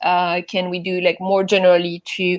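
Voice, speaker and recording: In a French accent, a woman speaks with monotone, flat intonation. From France. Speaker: event organizer. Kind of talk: conference talk. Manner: halting, many fillers.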